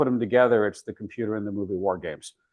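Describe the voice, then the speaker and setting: A man's voice at a medium pitch. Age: 60s. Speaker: internet archive director, guest speaker. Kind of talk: talk to professional group. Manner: halting, many fillers.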